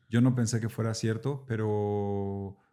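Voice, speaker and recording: A man talks fairly slowly in a fairly low pitch. His tone is dark and mellow, with fairly even intonation. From central Mexico (Mexico City, Puebla, San Luis Potosí). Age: 40s. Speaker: actor. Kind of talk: casual interview chat. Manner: casual, with filler words and repetitions.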